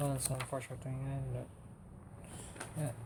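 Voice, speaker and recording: Using fairly even intonation, a man talks at medium pitch. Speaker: vtuber artist. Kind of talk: casual livestream talk about art. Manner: monotone.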